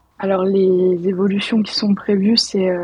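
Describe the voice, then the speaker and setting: The voice is a woman's at medium pitch. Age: 20s. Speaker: rental department employee. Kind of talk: casual interview.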